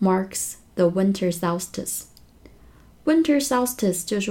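A woman's voice has a dark, mellow tone. It sounds somewhat breathy. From northern Jiangsu, China (Xuzhou). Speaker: English teacher podcaster. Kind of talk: language lesson explaining news. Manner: slow, repeating words for learners.

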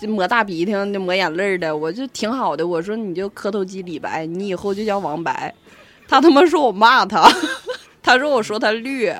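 This woman talks at a moderate pace with a medium pitch and lively intonation. Her loudness swings widely. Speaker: podcast co-host. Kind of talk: casual chat.

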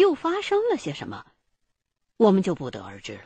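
A woman is recorded with a dry, close sound and no echo. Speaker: narrator. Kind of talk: fiction audio drama narration, first-person storytelling. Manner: immersive, suspenseful storyteller with a measured pace, building eerie mystery; conversational, colloquial Northern Mandarin, with rhetorical questions and wry asides.

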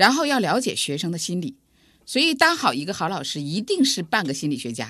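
A woman at a medium pitch with a bright, sharp tone, fairly quick pace and very wide pitch swings over a quiet background. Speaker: computer science professor, dean. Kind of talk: interview.

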